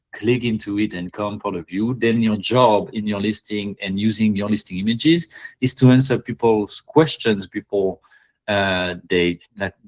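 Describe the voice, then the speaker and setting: The sound is dry and close with no echo as a man of medium pitch speaks at a fairly slow pace with ordinary pitch variation. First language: not English. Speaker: Etsy listing reviewer, live session host. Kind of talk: live online listing review. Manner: halting, many fillers.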